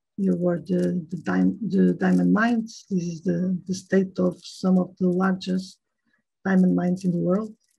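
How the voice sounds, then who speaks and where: A woman with a Portuguese accent speaks at a moderate pace against a quiet background. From Portugal. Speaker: chemical researcher; guest lecturer. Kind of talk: lecture. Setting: video call. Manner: halting, many fillers. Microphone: video call.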